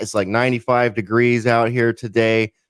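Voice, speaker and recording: Here a man has an unremarkable speaking voice at medium pitch and a moderate pace. The recording is very clean, with a silent background. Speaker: podcast producer. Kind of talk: podcast talk.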